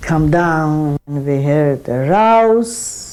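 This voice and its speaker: A woman speaks at a very slow pace with a very deep, low pitch. Noticeable background noise sits behind her. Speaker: Holocaust survivor giving testimony. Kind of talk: first-person survivor testimony. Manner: steady, measured.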